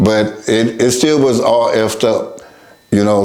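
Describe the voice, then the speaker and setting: A man speaks with a Northern California accent amid audible room echo. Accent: Northern California American English. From US West Coast, Oakland, California. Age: 70s. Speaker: recovering addict sharing life story. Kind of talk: testimony. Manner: halting.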